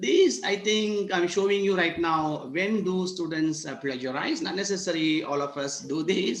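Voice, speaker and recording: Audible room echo and noticeable background noise around a man, moderate in pace, his pitch varying in an ordinary way. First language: not English. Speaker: university lecturer. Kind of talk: online workshop lecture. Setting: video call.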